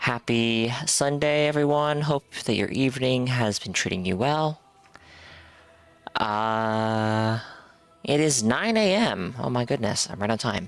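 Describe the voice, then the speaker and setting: A man's medium-pitched voice with ordinary pitch variation, a fairly slow pace and noticeable background noise. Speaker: video game streamer. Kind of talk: live stream chat. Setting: live stream. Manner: casual, hesitant with fillers.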